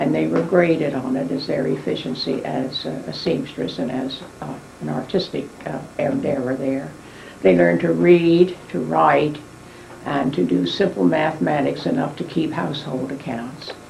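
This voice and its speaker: With an American accent, a woman speaks in a very deep, low pitch with very wide pitch swings. Audible room echo and noticeable background noise fill the recording. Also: moderate pace. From West Virginia, US. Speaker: elderly interviewee recounting family history. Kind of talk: oral history interview. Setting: dining room at home.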